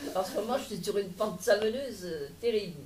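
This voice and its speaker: A woman's somewhat breathy voice carries ordinary pitch variation, with audible room echo around it. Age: 80s+. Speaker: audience member. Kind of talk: Q&A discussion. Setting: public lecture hall with audience.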